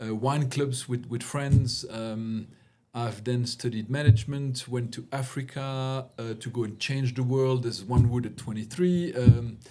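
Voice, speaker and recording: A man with a French accent talks at a fairly slow pace and medium pitch, his tone dark, mellow and somewhat breathy, his intonation fairly even and his loudness swinging widely. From Belgium. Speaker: CEO coach. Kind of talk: interview conversation.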